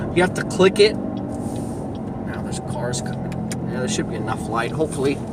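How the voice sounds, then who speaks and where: Noticeable background noise is present. Over it, a man speaks in a high pitch. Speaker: delivery driver vlogger. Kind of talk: casual vlog monologue. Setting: in a car. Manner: loud.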